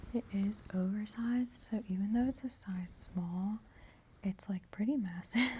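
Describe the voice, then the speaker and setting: Soft-spoken and somewhat breathy, a woman talks at a moderate pace with a medium pitch and a dark, mellow tone. Her tone is relaxed, and her intonation stays fairly even. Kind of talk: ASMR soft spoken haul video. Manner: soft-spoken, relaxed, rambling.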